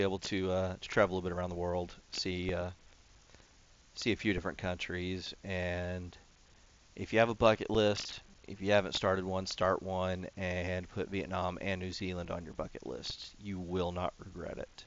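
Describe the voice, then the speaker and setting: A man with a slight Texan accent speaks at a moderate pace in a very deep, low voice, with big swings in loudness. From Texas. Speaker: gaming YouTuber. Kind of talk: casual gameplay commentary. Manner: rambling, filler-heavy.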